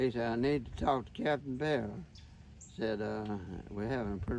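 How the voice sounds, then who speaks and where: With noticeable background noise, a man talks with ordinary pitch variation. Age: 80s+. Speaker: World War II veteran. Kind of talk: interview answer.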